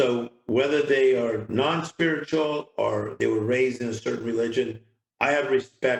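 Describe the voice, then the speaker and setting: The pitch varies in an ordinary way in a normal speaking voice. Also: man. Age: 60s. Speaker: motivational speaker. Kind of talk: interview.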